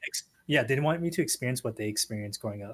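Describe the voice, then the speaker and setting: A man talks with a Californian accent. His voice is somewhat breathy. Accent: Californian American English. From San Diego, Southern California. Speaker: podcast guest. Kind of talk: casual chat.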